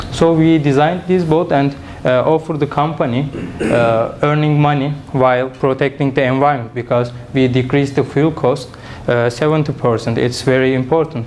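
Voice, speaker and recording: With a Turkish accent, a man speaks at a moderate pace in a fairly high pitch with fairly even intonation, amid audible room echo and noticeable background noise. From Turkey. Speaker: engineering student and startup founder. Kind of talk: conference presentation; audience Q&A. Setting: conference with audience. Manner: halting, many fillers.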